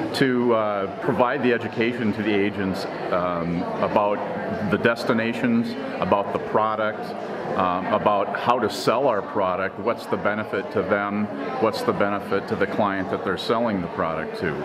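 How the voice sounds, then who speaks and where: Loud background noise accompanies a man who talks at a moderate pace. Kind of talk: interview answer. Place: bar.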